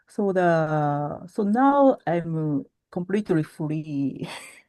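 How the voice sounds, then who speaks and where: Against a quiet background, a woman with a Japanese accent speaks very slowly in a fairly low voice. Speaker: origami artist. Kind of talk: interview. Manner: halting.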